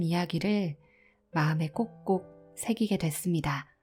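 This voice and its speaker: Over music in the background, a woman with a fairly low pitch speaks at a fairly slow pace in a calm, soothing tone with ordinary pitch variation. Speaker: audiobook narrator. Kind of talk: casual talk to listeners.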